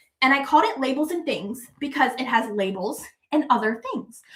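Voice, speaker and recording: A woman talks in an animated tone. Her pitch is high. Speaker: quilt fabric designer and channel host. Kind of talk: livestream product showcase. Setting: live stream.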